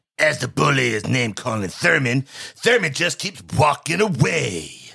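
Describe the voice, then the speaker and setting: A put-on character voice at a moderate pace, with very wide pitch swings. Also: man, medium pitch for a man. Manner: put-on narrator voice.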